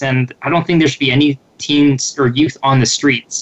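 Backed by music in the background, a man at a medium pitch speaks with monotone, flat intonation. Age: 30s. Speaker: youth program facilitator. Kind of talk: radio interview.

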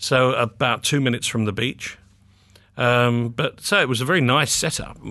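A man's medium-pitched voice with a southern English accent, bright and sharp in tone, at a moderate pace with ordinary pitch variation and very even loudness. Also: quiet background. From England, North London. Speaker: publishing executive. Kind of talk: interview. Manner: hesitant, many fillers and repeats.

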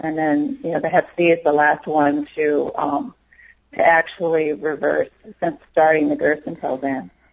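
This woman speaks in an American accent at a fairly slow pace. Her pitch is very deep and low. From Tucson, Arizona. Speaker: retired woman, Gerson therapy patient. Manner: enthusiastic, bubbly.

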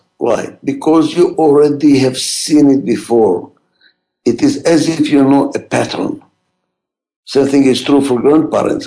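A man speaks with a strong non-native accent. His pace is fairly slow. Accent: heavy foreign. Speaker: radio host and management expert. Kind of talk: pre-recorded talk radio monologue.

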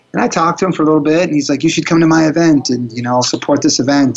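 A man's voice sits fairly high in pitch. Noticeable background noise runs behind him. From Florida. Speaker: speaker trainer and coach. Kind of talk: motivational interview. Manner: upbeat, motivational.

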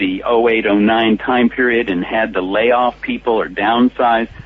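A man with a General American accent, fairly slow pace and monotone, flat intonation, plus noticeable background noise. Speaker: speakers bureau founder.

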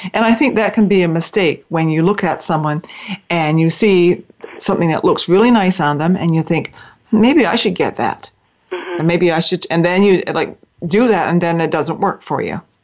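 A woman talks in a normal speaking voice at a moderate pace. Her pitch is fairly low, with ordinary variation. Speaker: radio host. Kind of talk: interview chat. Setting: internet talk radio show. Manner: warm, friendly, conversational.

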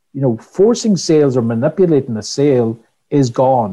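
In a Donegal accent, a man talks at a moderate pace in a medium pitch, his somewhat breathy voice dark and mellow in tone with lively intonation. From Ireland, West Donegal. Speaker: customer experience trainer. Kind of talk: interview. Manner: repetitive false starts.

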